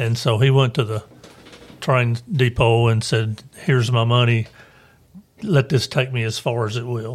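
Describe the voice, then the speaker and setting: A man with a Tennessee accent, medium pitch and fairly even intonation, with long, frequent pauses. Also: moderate pace. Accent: Tennessee Southern US. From Lawrenceburg, Tennessee. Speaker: banker and local historian. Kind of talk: interview. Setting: studio.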